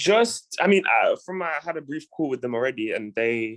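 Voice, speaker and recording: A strong British accent comes through in a dry, close sound with no echo. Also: man. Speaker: community program member presenting a lead. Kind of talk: casual online meeting discussion. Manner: hesitant, many fillers and repeats.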